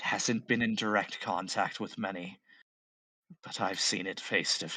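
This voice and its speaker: A man speaks in a put-on character voice. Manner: hushed, hesitant.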